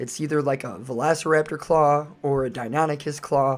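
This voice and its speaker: Using an unremarkable speaking voice, a man talks at a moderate pace and a fairly high pitch. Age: 30s. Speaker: fitness vlogger. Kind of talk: voice-over narration. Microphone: recorded later as voice-over, original audio poor.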